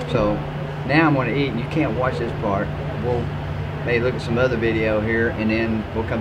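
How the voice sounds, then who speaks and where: A man's voice with ordinary pitch variation amid loud background noise. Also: moderate pace. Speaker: food video host. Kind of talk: casual food vlog commentary and interview questions. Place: cafe.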